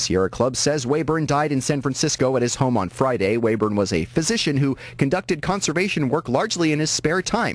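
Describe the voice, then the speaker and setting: With hardly any pauses and a fairly quick pace, a man at fairly high pitch makes very wide pitch swings while his loudness stays very even. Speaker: radio news anchor. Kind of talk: radio newscast delivery. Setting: radio station broadcast.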